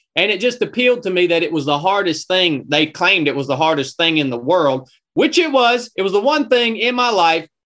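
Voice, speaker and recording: A man with a Southern US accent, a high pitch, a bright, sharp tone and very wide pitch swings. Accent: Southern US (Georgia). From North Georgia, US South. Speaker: former Navy SEAL, ultramarathon runner and podcaster. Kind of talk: casual interview conversation.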